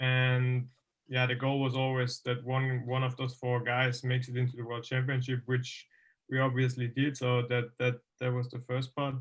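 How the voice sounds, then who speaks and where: A man with a German accent speaks in a somewhat breathy voice at a medium pitch and moderate pace, his intonation flat and monotone. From Austria. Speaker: motocross racer. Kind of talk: interview. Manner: halting.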